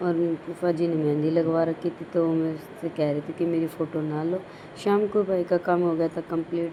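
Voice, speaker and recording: Monotone, flat speech from a woman with a fairly low voice, over noticeable background noise. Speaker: family vlogger. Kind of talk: vlog narration.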